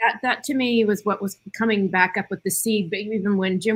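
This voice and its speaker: A woman with a plain, everyday voice talks at a fairly quick pace, her pitch medium and her intonation fairly even. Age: 60s. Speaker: panelist. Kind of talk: panel discussion.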